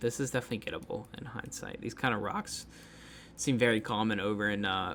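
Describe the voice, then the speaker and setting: At a moderate pace, a man with an American accent speaks in a medium pitch with monotone, flat intonation. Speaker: geography game streamer. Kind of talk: casual gameplay commentary. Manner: casual, hesitant with many fillers.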